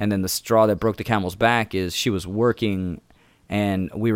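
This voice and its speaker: A man with an American accent speaks fairly quickly in a normal speaking voice. His pitch is fairly low and his intonation fairly even. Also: dry, close sound with no echo. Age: 30s. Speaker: comedian and podcast host. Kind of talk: casual chat.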